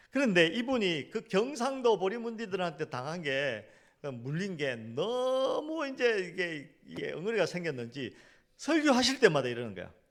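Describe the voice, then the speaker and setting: An animated man with a high pitch, very wide pitch swings and big swings in loudness. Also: moderate pace. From South Korea, Gyeongsang region. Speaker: pastor. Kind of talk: sermon.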